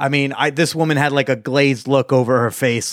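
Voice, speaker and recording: A man talks in a normal speaking voice at a fairly quick pace, his pitch fairly high and his intonation fairly even. The sound is dry and close with no echo, a very clean recording with a silent background. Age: 20s. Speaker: podcast host on hookups and dating. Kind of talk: casual interview chat.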